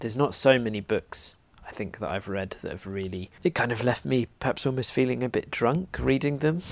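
A man's unremarkable speaking voice at medium pitch, with lively intonation and a fairly quick pace. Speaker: podcast co-host. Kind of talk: casual literary discussion.

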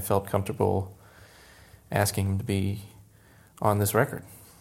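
A man with an American accent, fairly low-pitched and fairly quick, on a very clean recording with a silent background. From Florida, US (Tampa). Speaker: jazz pianist and music educator. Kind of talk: interview conversation.

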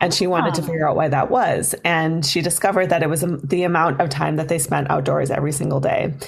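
A woman's very deep, low voice with an American accent and ordinary pitch variation, plus audible room echo and noticeable background noise. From Minnesota, Duluth. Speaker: festival development director. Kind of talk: interview. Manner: hesitant, many fillers.

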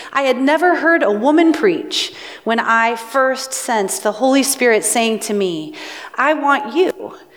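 Noticeable background noise sits behind a woman speaking at a high pitch. She moves at a fairly slow pace with very wide pitch swings. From US Pacific Northwest. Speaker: pastor. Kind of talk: sermon.

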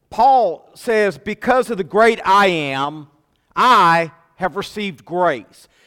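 A man speaks very slowly in a raised, projected voice that is high and bright with a sharp tone. His intonation is lively. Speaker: pastor. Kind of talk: sermon. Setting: church. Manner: halting, many repeated words.

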